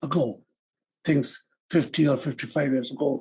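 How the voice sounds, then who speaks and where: A man with a fairly high pitch and vocal fry speaks at a moderate pace. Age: 70s. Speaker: human rights activist. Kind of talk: lecture.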